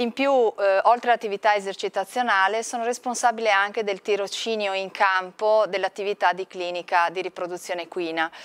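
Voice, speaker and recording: A plain, everyday voice from a woman at medium pitch, fairly quick with hardly any pauses, the intonation fairly even. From northeast Italy, Friuli (Pordenone); northeast Italy. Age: 40s. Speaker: veterinary researcher and lecturer. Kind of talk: interview. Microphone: lapel.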